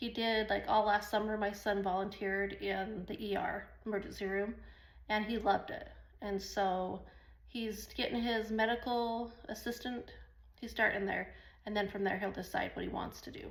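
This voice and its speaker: With audible room echo, a woman speaks in an animated tone at a fairly high pitch. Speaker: online business vlogger. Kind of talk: casual talk to camera. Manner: fast; rambling, animated.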